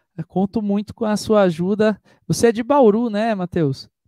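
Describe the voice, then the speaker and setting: A man's high-pitched voice with a dark, mellow tone, a fairly slow pace and ordinary pitch variation, in a dry, close sound with no echo. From Brazil, Itu (São Paulo state). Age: 30s. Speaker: singer and singing teacher. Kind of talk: live stream interview. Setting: online live stream.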